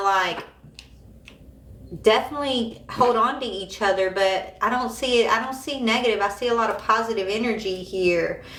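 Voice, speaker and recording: The speech moves at a moderate pace with fairly even intonation. Audible room echo is present. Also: woman. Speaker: tarot reader. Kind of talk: live tarot reading. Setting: livestream. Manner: casual, conversational.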